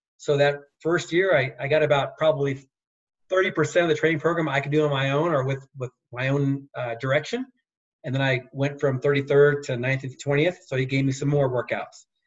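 A man speaks at a moderate pace with a fairly high pitch. His voice is somewhat breathy and his intonation fairly even. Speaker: former Olympic speed skater. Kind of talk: interview.

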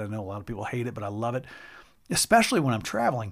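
This man talks at a medium pitch with fairly even intonation and a warm tone. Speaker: podcast host and speaker. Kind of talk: personal storytelling monologue with a heartfelt, sermon-like appeal. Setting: solo recording with direct address to listeners. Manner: earnest, warm and reflective, with self-deprecating laughs.

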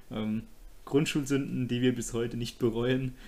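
This man has a plain, everyday voice. He speaks at a fairly slow pace with fairly even intonation. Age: 20s. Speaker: podcast host. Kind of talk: casual chat.

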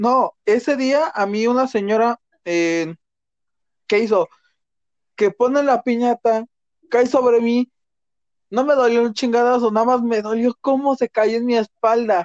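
An extremely high-pitched man at a fairly slow pace, with fairly even intonation and long, frequent pauses. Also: very even loudness. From Mexico. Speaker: podcast host. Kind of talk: casual chat.

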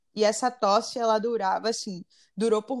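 This woman has an ordinary speaking voice with fairly high pitch. She talks at a moderate pace on a very clean recording with a silent background. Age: 20s. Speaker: civil engineer, cancer survivor. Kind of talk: personal testimony in interview.

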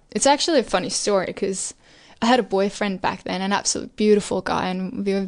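Fairly even intonation carries the speech along at a fairly quick pace. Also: woman. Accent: Danish. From Denmark. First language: Danish. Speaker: interview guest. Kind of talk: casual interview.

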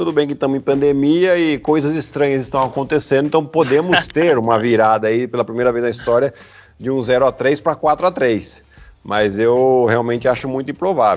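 Speaking at a fairly quick pace, a man uses an ordinary speaking voice at medium pitch with ordinary pitch variation. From Brazil, Piracicaba (São Paulo state). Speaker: basketball player and sports commentator. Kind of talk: casual interview chat.

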